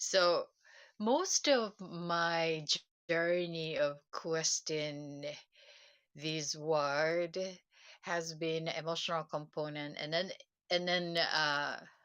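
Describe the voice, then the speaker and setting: A woman with a Japanese accent speaks at a very slow pace in a fairly low voice, her intonation fairly even and her pauses long and frequent. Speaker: self-help livestreamer. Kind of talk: casual livestream talk. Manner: halting, many fillers.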